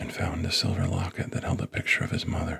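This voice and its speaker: A man whispers in a calm tone at a moderate pace. Noticeable background noise is present. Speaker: author. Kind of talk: ASMR book reading. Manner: calm, soft-spoken.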